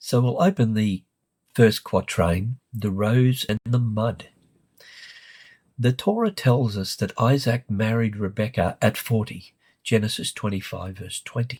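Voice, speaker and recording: In a very clean recording with a silent background and dry, close sound with no echo, a man speaks at a medium pitch and a fairly slow pace, somewhat breathy, with fairly even intonation. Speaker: literature lecturer. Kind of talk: lecture.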